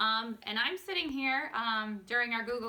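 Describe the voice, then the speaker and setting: Noticeable background noise behind a woman talking at a moderate pace with a fairly high pitch. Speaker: coach. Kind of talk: casual talk to camera.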